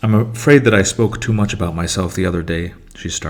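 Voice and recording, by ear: Natural-voiced reading aloud with ordinary pitch variation.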